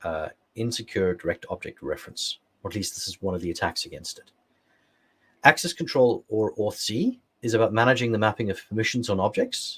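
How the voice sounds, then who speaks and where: A man with an English accent at a fairly quick pace, with big swings in loudness. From England. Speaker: security expert, workshop presenter; presenter. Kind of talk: technical workshop lecture; lecture. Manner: frequent fillers (uh, um). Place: home room.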